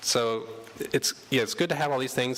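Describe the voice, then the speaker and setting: This man speaks at a fairly quick pace with fairly even intonation. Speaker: workshop presenter on artist marketing. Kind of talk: workshop presentation. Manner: fast; hesitant, many fillers.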